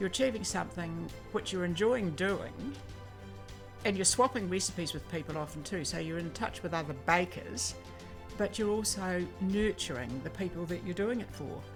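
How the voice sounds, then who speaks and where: With music in the background, a woman in a New Zealand accent speaks at a moderate pace in a fairly low voice with lively intonation. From Christchurch, New Zealand. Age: 80s+. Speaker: volunteer baker. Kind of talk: interview answer and baking demonstration. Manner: casual, hesitant.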